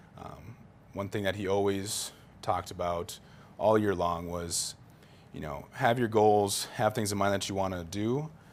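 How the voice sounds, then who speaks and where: Here is a man with an ordinary speaking voice. His pitch is fairly low and his pace fairly slow. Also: ordinary pitch variation. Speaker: college football player. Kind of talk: interview. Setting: studio.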